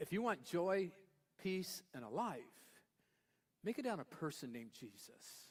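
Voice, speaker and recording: Pausing long and often, a man speaks at a high pitch with very wide pitch swings. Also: fairly slow pace. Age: 70s. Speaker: pastor. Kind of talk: sermon. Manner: conversational, playful.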